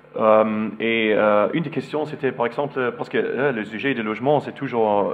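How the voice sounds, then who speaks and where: A man with a German accent speaks at a fairly slow pace and medium pitch, with noticeable background noise. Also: hardly any pauses. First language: German (speaking French). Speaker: architect. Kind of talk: lecture. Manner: halting, many hesitations.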